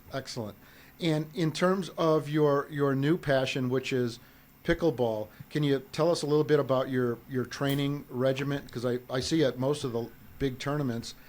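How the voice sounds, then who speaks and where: With a moderate pace and fairly even intonation, a man speaks in an unremarkable speaking voice at a fairly high pitch. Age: 60s. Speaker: podcast host. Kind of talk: interview.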